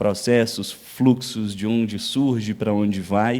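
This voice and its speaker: Medium in pitch with fairly even intonation, a man is heard on a very clean recording with a silent background. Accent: Minas Gerais. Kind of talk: lecture.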